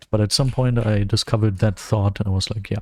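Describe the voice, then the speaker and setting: A man speaks with a German accent. His pitch is medium, with ordinary variation. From Germany. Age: 20s. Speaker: gaming streamer. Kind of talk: gameplay livestream commentary. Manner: casual, with frequent fillers and self-corrections.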